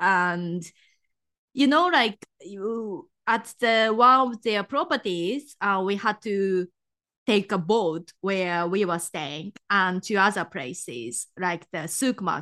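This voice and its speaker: A woman with a Japanese accent, medium-pitched, bright and sharp in tone, lively in intonation, at a very slow pace against a quiet background. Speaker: travel guide and podcaster. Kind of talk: casual interview.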